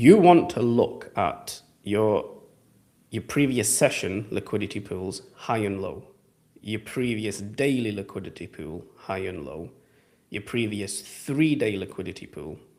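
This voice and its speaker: Lively intonation and big swings in loudness in an English accent. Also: man, fairly low pitch for a man, fairly slow pace. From England. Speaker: trading educator. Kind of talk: live Q&A stream. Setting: live stream. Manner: casual.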